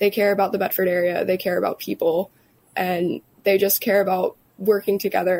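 A woman's plain, everyday voice at medium pitch and moderate pace. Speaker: chamber of commerce staffer. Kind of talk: interview. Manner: casual, filler-heavy.

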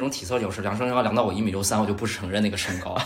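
Amid noticeable background noise and audible room echo, a man talks very fast with lively intonation. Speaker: podcast guest. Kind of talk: casual chat. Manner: soft-spoken.

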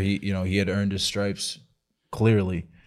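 In a very clean recording with a silent background, a man with an American accent speaks at a fairly low pitch. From Massachusetts (Lynn, near Boston). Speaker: professional baseball pitcher. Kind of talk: casual chat.

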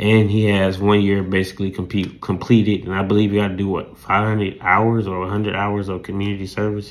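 A man with a Southern US accent talks at a fairly quick pace, with hardly any pauses. His pitch is fairly low and his intonation monotone and flat. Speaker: podcast host, sports and news commentator. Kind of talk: solo podcast commentary. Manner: rambling, filler-heavy.

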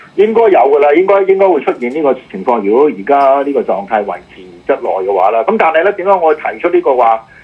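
Against noticeable background noise, the speaker's pitch rises and falls very widely. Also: man, fairly high pitch for a man. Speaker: radio host and political commentator. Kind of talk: casual chat. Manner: halting.

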